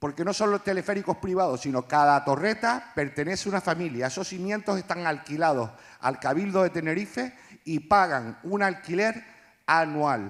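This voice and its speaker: A man's high-pitched, animated tone with lively intonation at a moderate pace. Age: 60s. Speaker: audience member. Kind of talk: public comment at live event. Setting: live event with audience.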